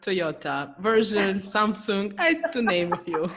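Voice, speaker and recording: A plain, everyday voice, a woman at medium pitch and a fairly slow pace. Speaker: business coach. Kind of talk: podcast host introduction.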